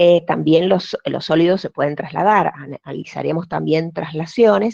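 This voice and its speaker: A woman's fairly low, dark and mellow voice with vocal fry, ordinary pitch variation and big swings in loudness, at a moderate pace in a dry, close sound with no echo. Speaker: physics teacher. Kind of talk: online lecture. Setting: video call. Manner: hesitant, many fillers.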